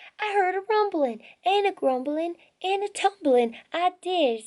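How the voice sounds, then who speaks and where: A woman's put-on character voice, extremely high in pitch, at a moderate pace with a Western US accent. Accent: folksy Western twang. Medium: read story. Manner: excited, folksy.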